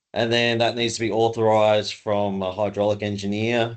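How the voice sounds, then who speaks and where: A man with an Australian accent talks at a moderate pace against a quiet background. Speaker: race organization assistant. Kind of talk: webinar presentation. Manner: casual.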